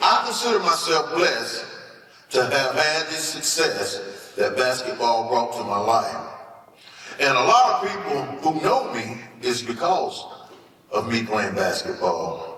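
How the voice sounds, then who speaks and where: A man's fairly slow speech is heard with audible room echo and noticeable background noise. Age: 60s. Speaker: hall of fame inductee, former basketball player. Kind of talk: acceptance speech.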